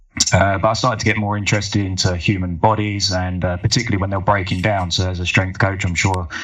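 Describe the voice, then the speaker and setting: In an English accent, a man speaks very fast with hardly any pauses, his fairly low voice flat and monotone, over noticeable background noise and audible room echo. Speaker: physiotherapist, former soldier. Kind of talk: podcast interview.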